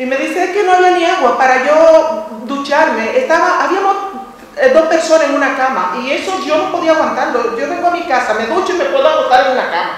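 Speaking at a fairly quick pace, a woman with a high pitch and lively intonation is heard in a room with strong echo. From Dominican Republic. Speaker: audience member. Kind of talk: audience question and personal story. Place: hall.

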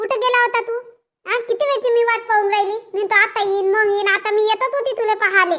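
A woman's cartoonish character voice, extremely high in pitch, with fairly even intonation at a moderate pace. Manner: fussing, nagging.

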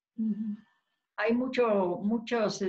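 A woman's somewhat breathy voice at a very slow pace, fairly even intonation, over a quiet background. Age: 80s. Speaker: interview guest. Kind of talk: casual chat. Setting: video call. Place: kitchen. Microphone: video call.

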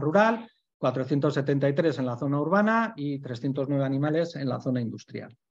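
A man's fairly high voice over a quiet background. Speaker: animal welfare association member; presenter. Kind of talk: online panel talk. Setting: video call. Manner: fast. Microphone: video call.

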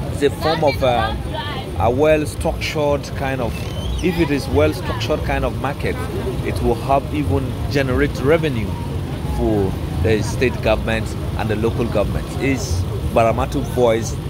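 A man's speech broken by long, frequent pauses, with crowd noise in the background. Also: moderate pace, dry sound with no echo. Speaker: local news vlogger. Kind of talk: on-location commentary. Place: market. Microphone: phone near.

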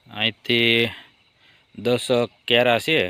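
Here a man talks. His pitch sits in the medium range. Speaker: farmer and vlogger. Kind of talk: casual vlog narration. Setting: outdoors on a farm at night.

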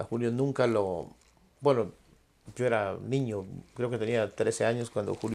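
A man speaking at a fairly slow pace with long, frequent pauses and fairly even intonation. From Ecuador, Loja province; Ecuador. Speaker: singer; guest. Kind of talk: casual interview. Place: studio. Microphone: lapel.

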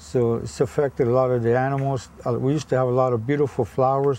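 A man with an American accent uses a plain, everyday voice at a medium pitch, talking at a fairly quick pace with ordinary pitch variation. The sound is dry with no echo, and light background noise is present. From Florida Everglades; Florida. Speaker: tour guide. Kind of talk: casual chat. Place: boat.

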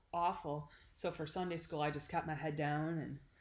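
A woman talks at a moderate pace in a breathy voice with a very deep, low pitch. Her intonation is monotone and flat. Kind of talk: personal story vlog. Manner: breathy speech through trach and vent. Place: home room. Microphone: phone near.

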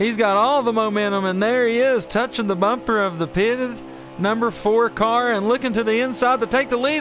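With music in the background, a man speaks at an extremely high pitch with ordinary pitch variation. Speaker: race commentator. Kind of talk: live race commentary.

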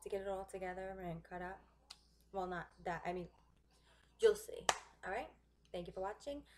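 Light background noise sits behind a woman speaking at a moderate pace. Her pitch varies in an ordinary way. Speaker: home cooking vlogger. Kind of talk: casual cooking tutorial chat. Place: kitchen. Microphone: webcam.

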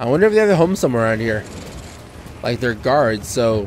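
Fairly quick male speech with very wide pitch swings over noticeable background noise. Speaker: gaming YouTuber. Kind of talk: let's play commentary. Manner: soft-spoken.

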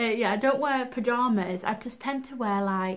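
This woman talks at a moderate pace. Her pitch varies in an ordinary way. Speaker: fashion vlogger. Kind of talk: casual vlog chat. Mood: cheerful, chatty. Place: home room. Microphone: camera far.

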